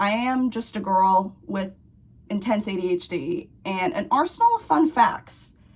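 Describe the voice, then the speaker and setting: A woman with an American accent, fairly high-pitched, speaking fairly slowly with very wide swings in pitch. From Missouri. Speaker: history video essayist. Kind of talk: casual video essay.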